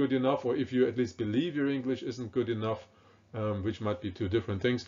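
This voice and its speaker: With a German accent, a man speaks at a fairly quick pace in a medium pitch with ordinary pitch variation. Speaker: professor. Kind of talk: lecture. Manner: hesitant, many fillers.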